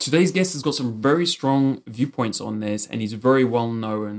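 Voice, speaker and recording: Here a man speaks in a British accent. His medium-pitched voice shows ordinary pitch variation. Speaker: podcast host. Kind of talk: scripted intro then interview.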